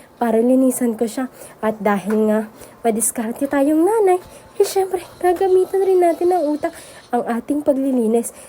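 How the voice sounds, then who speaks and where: A woman at a high pitch with lively intonation and a fairly quick pace, over noticeable background noise. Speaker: vlogger, mother running a small store. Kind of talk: casual vlog narration. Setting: small store by the road. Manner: chatty, conversational.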